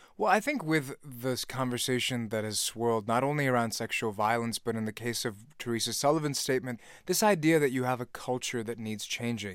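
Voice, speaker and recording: On a very clean recording with a silent background, a man with an ordinary speaking voice talks at medium pitch and a fairly quick pace. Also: ordinary pitch variation. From Virginia, US (born in Pakistan). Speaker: podcast host. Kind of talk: casual chat.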